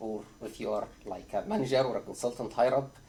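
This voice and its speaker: Audible room echo surrounds a man speaking at a fairly quick pace. His medium-pitched voice is somewhat breathy. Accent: non-native. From Egypt. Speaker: psychiatry trainee doctor. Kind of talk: conference talk. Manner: hesitant, many filler uhs.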